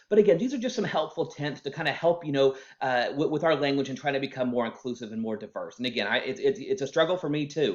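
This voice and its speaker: A man's fairly high voice with an American accent, very fast pace and lively intonation. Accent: Oklahoma accent, comes out at times. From Oklahoma. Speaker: HR staff member. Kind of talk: informal workplace talk. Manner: halting, many fillers and repeats.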